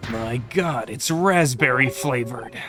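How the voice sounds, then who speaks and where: Clear music plays behind a man doing a put-on character voice. He speaks fairly slowly in a medium pitch. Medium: game stream.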